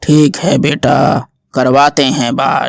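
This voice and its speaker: A man puts on a raspy character voice at a fairly high pitch, with fairly even intonation. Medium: read story. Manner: calm, solemn.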